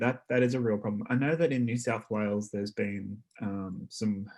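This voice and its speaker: With ordinary pitch variation, a man talks at a medium pitch and a moderate speed. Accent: Australian. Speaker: consumer advocate. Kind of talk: panel discussion. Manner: soft-spoken; halting. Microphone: too quiet, far from microphone.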